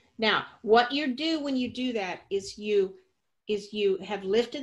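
A woman's fairly high voice at a fairly slow pace, over a quiet background. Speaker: yoga teacher. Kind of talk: live yoga class instruction, guiding a demonstration. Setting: studio with a live class. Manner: animated, playful, coaching with cues and laughter; directive, clear step-by-step cues. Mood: warm, enthusiastic. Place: home room. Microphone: webcam.

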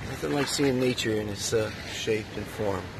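A man's fairly low-pitched voice at a moderate pace, with ordinary pitch variation and clear background noise

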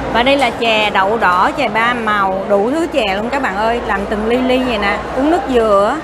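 Over loud background noise, a woman talks at a moderate pace with ordinary pitch variation and hardly any pauses. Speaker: food vlogger. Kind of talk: casual vlog chat. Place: cafe. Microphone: phone near.

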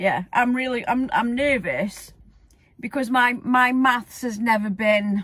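A woman talks at a very slow pace in a dry sound with no echo. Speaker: vlogger. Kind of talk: casual vlog chat. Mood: cheerful, laughing. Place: car. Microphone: phone near.

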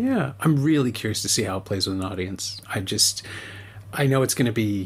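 This man's somewhat breathy voice shows ordinary pitch variation. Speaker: podcast host and film festival programmer. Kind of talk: casual interview chat about a film.

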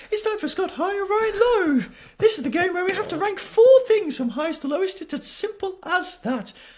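A man does a squeaky, put-on character voice at an extremely high pitch and a fairly quick pace. The recording is very clean, with a silent background.

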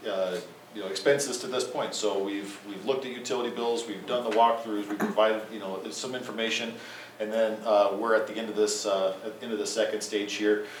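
A man speaks at a fairly quick pace in a medium pitch, his intonation flat and monotone, his loudness swinging widely. Noticeable background noise and audible room echo fill the recording. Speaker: energy services company representative. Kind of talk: presentation to city council. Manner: fast.

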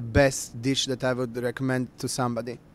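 A man with a Bosnian accent speaks at a moderate pace, the sound dry with no echo. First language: Bosnian/Croatian. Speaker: culinary expert. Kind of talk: interview. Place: home room. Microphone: handheld.

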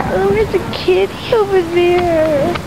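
Over noticeable background noise, a woman puts on a squeaky character voice at an extremely high pitch, talking at a moderate pace. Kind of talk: comedic acted monologue. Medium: short film. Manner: whiny. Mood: whiny, weary.

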